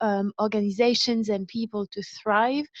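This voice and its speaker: A woman with a French accent speaks at a fairly high pitch and fairly slow pace. Her pitch varies in an ordinary way, and the sound is dry and close with no echo. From France. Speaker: wellbeing company founder, speaker. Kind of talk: public talk. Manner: hesitant, frequent um fillers.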